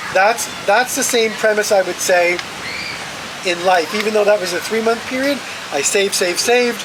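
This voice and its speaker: The speech moves at a moderate pace while noticeable background noise continues behind it. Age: 60s. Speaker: interviewee sharing career and money advice. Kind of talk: interview. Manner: repetitive, emphatic.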